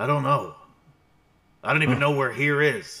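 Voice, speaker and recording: A man speaks at a moderate pace in a raspy, put-on character voice pitched fairly high. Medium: actual play. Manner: gruff, grumbling, insulting.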